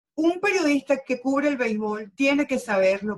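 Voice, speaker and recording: At a fairly slow pace, a woman with a Venezuelan accent speaks in a somewhat breathy voice with lively intonation. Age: 50s. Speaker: sports journalist. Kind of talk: interview.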